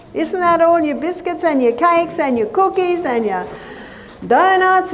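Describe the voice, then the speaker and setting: Over noticeable background noise and audible room echo, a woman talks with lively intonation. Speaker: nutritionist and health educator. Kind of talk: lecture.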